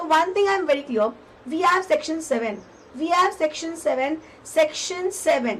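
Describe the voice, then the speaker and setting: Over noticeable background noise, a woman talks at a moderate pace in an extremely high voice with lively intonation. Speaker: tax exam tutor. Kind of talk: lecture. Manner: repetitive.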